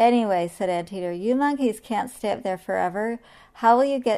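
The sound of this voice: This is an unforced reading voice. The delivery stays that way throughout.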